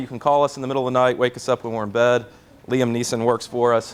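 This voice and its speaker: Someone with a Kentucky accent talks at a very fast pace. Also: man. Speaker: court reporting company representative. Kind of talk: sales presentation. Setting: seminar with audience. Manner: casual, joking, many filler words; quick.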